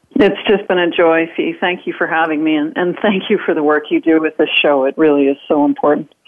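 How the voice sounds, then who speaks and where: Speaking in an ordinary speaking voice with a Canadian accent, a woman talks at a fairly quick pace with hardly any pauses, a fairly low pitch, ordinary pitch variation and very even loudness. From northern Canada. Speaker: author and influence speaker. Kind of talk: interview.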